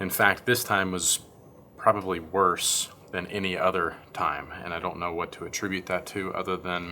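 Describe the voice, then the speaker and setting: Quiet and at a moderate pace, a man speaks in a very deep, low pitch with a bright, sharp tone and flat, monotone intonation. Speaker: vlogger, parent of a sick child. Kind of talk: video diary update. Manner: quiet, hushed.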